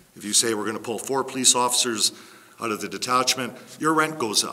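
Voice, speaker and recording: Speaking at a fairly quick pace through noticeable background noise, a man uses a medium pitch with ordinary pitch variation. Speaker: resident speaking at public hearing, former councillor. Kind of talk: public hearing statement. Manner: loud.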